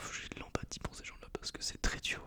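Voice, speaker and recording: A man is whispering. Noticeable background noise can be heard. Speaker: engineering school student and ASMR creator. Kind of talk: casual rambling monologue to camera. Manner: whispered, soft-spoken.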